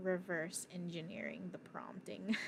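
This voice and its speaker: Soft-spoken and with vocal fry, a woman talks at a fairly slow pace in a medium pitch. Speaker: livestreamer coding in a hackathon. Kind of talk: live coding stream chat. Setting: livestream at computer. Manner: halting.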